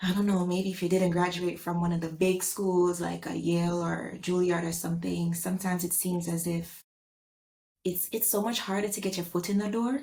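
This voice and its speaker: Somewhat breathy, a woman speaks at a moderate pace in a fairly low pitch, her dark, mellow tone held in monotone, flat intonation. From Jamaica. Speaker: actor and writer. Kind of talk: interview conversation.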